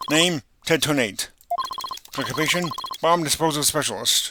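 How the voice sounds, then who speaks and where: A man's robotic, put-on character voice, fairly high in pitch, at a moderate pace. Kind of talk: stiff, deadpan.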